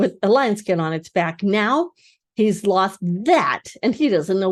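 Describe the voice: The intonation is lively in this plain reading aloud. All around it, the background is quiet.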